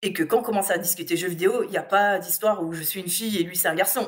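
A woman's normal speaking voice at a medium pitch and a fairly quick pace. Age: 30s. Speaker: gamer and video game blogger. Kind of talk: casual interview.

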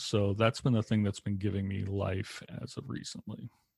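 A man speaks at a moderate pace and a fairly low pitch in a monotone, flat intonation, in a very clean recording with a silent background and a dry, close sound with no echo. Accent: American. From Massachusetts (Lowell, north of Boston). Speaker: chaplain and podcast co-host. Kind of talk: casual conversational interview.

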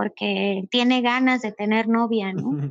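Dry and close with no echo, a woman's fairly high voice moves at a fairly slow pace. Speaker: animal rescue shelter founder. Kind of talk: casual interview.

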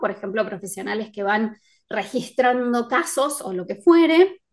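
Her pitch is high and her intonation lively. The woman keeps a fairly slow pace. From Argentina, Córdoba. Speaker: writer and editor. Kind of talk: interview conversation. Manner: laughs often.

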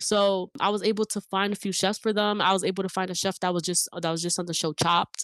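In a very clean recording with a silent background and a dry, close sound without echo, a woman of medium pitch speaks at a very fast pace in a flat monotone, with hardly any pauses. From US, Dominican and Puerto Rican family. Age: 20s. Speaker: filmmaker and content creator. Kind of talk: casual interview. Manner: halting, many fillers and restarts.

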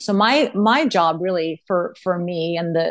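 A woman with an American accent speaks in an ordinary speaking voice, with ordinary pitch variation. The background is quiet. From Texas (Austin). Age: 40s. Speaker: mental performance coach and former volleyball player. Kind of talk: casual interview chat.

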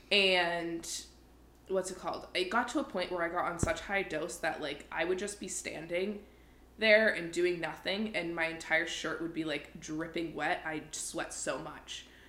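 A woman talks at a fairly slow pace. Noticeable background noise runs under her voice. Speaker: podcast co-host. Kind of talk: casual chat. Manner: profane, animated.

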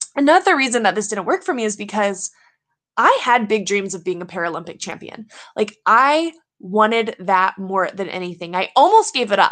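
She has a plain, everyday voice, fairly high for a woman, with an American accent and lively intonation. The pace is moderate, and the background is quiet. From US South, Louisiana. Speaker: podcast host, Paralympic snowboarder. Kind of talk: motivational monologue.

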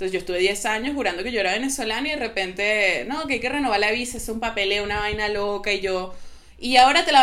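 Very fast delivery with audible room echo. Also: woman. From Venezuela. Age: young. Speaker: psychotherapist. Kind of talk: casual chat. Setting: remote call.

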